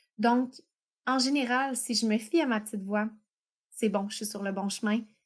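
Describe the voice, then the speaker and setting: In a Quebec accent, a somewhat breathy voice speaks at a moderate pace with ordinary pitch variation against a quiet background. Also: woman. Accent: Québécois French. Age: 30s. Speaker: travel writer and entrepreneur. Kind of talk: interview.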